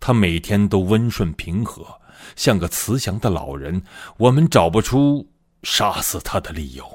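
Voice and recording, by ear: A man uses a put-on character voice, low in pitch with a slightly husky edge and lively intonation. He talks at a fairly slow pace on a very clean recording with a silent background.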